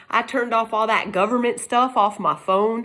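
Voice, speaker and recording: A woman with a Texas accent and fairly high pitch at a moderate pace, on a very clean recording with a silent background. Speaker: YouTuber. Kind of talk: casual monologue.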